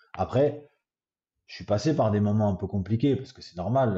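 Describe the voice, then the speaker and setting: Somewhat breathy, a man with a Marseille accent speaks at a moderate pace with ordinary pitch variation. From Paris, France. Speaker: goalkeeping coach, former footballer. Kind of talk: interview answer.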